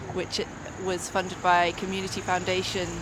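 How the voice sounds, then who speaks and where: With audible room echo and noticeable background noise, a woman talks in a fairly low pitch and a monotone, flat intonation. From Northumberland, northeast England. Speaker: musician. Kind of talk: interview. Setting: outdoors.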